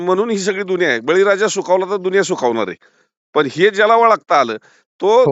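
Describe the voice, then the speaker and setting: A man speaks high with lively intonation. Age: 70s. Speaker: pomegranate commission agent. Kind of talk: casual chat.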